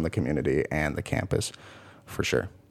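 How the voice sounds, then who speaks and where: A man's very deep, low voice with an American accent, vocal fry and ordinary pitch variation. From Washington State, near Seattle. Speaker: college football player. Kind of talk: interview.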